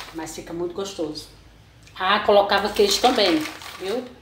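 Noticeable background noise runs under the recording. The woman's delivery is fairly slow. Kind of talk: cooking tutorial chat. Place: kitchen. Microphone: phone near.

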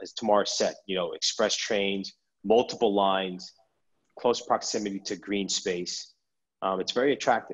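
A man talks at a moderate pace with an ordinary speaking voice. His pitch is fairly low and his intonation fairly even. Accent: American. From Brooklyn, New York. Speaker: real estate broker. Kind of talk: webinar panel Q&A. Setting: sales office.

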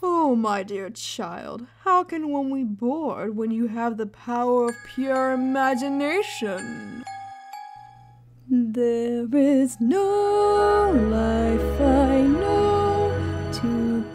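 A woman uses a put-on character voice with a high pitch, speaking very slowly. Music plays in the background. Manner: sardonic, profane, mock-wistful.

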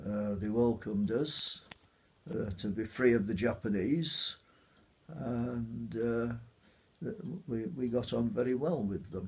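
Pausing long and often, a man talks at a very slow pace with ordinary pitch variation. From Otley, Yorkshire. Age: 80s+. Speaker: war veteran. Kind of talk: interview answer. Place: home room.

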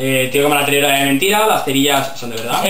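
A man's voice amid light background noise, with audible room echo. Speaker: youtuber. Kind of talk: casual vlog chat. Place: home room. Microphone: camera far.

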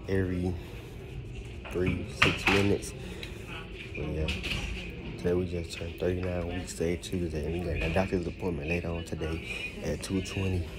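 A man at a moderate pace with long, frequent pauses, loud music playing behind him. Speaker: expecting father vlogger. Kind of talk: casual vlog chat. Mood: relaxed, cheerful. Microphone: phone near.

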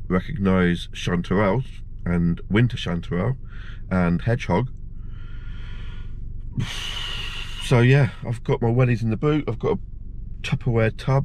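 Light background noise sits behind a man speaking at a moderate pace, his sound dry with no echo. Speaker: vlogger. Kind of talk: casual vlog chat. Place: car. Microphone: phone near.

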